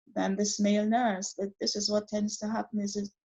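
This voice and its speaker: Fairly high in pitch, a woman talks in a somewhat breathy voice. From Caribbean. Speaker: retired staff nurse. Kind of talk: interview answer.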